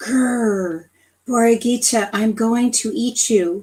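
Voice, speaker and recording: Putting on a growling character voice, a woman speaks at a fairly slow pace. Her pitch is fairly high, with ordinary variation. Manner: growling, threatening.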